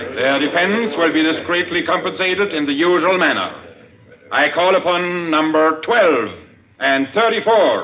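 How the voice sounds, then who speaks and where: At a fairly slow pace, a man talks with lively intonation. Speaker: radio drama actor voicing a villain. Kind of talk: dramatic speech in a radio play. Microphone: old recording.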